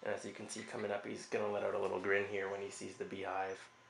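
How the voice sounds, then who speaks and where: Words pour out very fast from a man. Noticeable background noise is present throughout. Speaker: video game reviewer. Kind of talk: game comparison voice-over.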